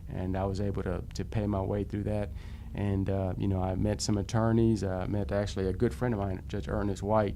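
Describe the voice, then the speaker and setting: With audible room echo, a man speaks at a fairly quick pace in a fairly low pitch with fairly even intonation. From Dallas, Texas (Oak Cliff). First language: Spanish. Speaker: prosecutor and judicial candidate. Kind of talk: interview. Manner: halting, many fillers.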